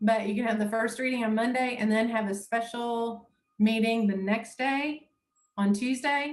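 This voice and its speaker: With an unremarkable speaking voice, a woman talks at a moderate pace at a fairly high pitch with fairly even intonation. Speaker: municipal law trainer. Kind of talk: lecture.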